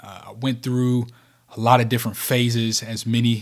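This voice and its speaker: Speaking with a Kentucky accent, a man at medium pitch moves at a moderate pace. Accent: Southern US (Kentucky). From rural Kentucky, US South. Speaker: podcast host, leadership speaker. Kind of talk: solo motivational podcast monologue.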